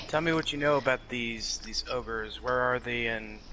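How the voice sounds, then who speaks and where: Against clear background noise, a man does a put-on character voice at a medium pitch and moderate pace. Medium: actual play. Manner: terse, matter-of-fact.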